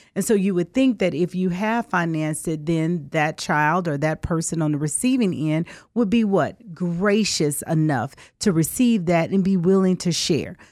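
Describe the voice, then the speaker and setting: The speaker has a Southern US accent and talks at a moderate pace. Pitch variation is ordinary. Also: woman, fairly low pitch for a woman. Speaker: attorney. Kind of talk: radio call-in talk. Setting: radio studio.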